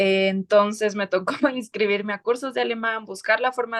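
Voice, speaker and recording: A woman with an ordinary speaking voice and fairly high pitch talks at a fairly slow pace with fairly even intonation. The recording is dry and close with no echo, over a quiet background. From southern Ecuador, Loja. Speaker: lawyer and writer. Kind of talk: interview.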